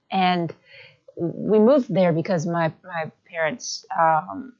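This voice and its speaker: With an American accent, a woman speaks very slowly at a medium pitch, her intonation lively. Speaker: singer-songwriter. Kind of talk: interview answer. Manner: soft-spoken.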